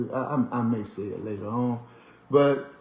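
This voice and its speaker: An American accent comes through with music playing in the background. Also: man. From US, Washington DC. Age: 60s. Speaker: radio show host, commentator. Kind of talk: monologue commentary. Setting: at home. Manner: conversational, with frequent fillers and repetitions.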